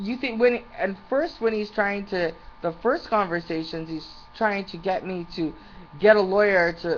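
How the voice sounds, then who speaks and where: Her speech comes at a fairly slow pace. The woman's pitch sits in the medium range and varies in an ordinary way. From Canada. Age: 40s. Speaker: small business owner. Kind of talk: personal rant to webcam. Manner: animated.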